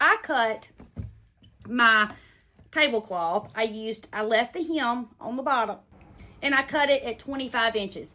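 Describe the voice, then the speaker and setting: A woman's fairly high, bright, sharp voice in a Southern US accent, with ordinary pitch variation, a fairly slow pace and long, frequent pauses, on a very clean recording with a silent background. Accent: Southern US, remarked on own pronunciation. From US South. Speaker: sewing teacher. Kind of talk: tutorial. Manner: casual, chatty.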